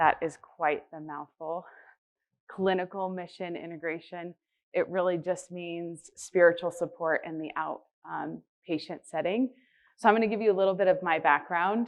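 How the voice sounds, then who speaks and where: A woman speaks at a moderate pace with a fairly low pitch. Her intonation stays fairly even, though her loudness swings widely. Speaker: healthcare spiritual care director. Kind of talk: conference presentation. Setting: conference stage with audience.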